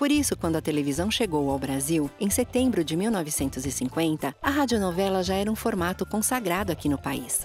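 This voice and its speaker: Over music in the background, a woman with a fairly low pitch speaks at a fairly quick pace with hardly any pauses, very even loudness and very wide pitch swings. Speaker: voice actor. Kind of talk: informative podcast narration.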